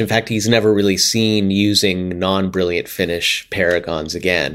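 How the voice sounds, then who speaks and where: A man with an American accent speaks in a very deep, low voice with monotone, flat intonation. His pace is moderate, and the recording is very clean with a silent background. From US, Pittsburgh. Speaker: music professor and drummer. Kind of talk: casual interview chat.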